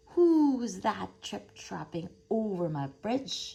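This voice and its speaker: A gruff, bellowing, put-on character voice with a fairly high pitch drags along at a very slow pace. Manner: bellowing, gruff.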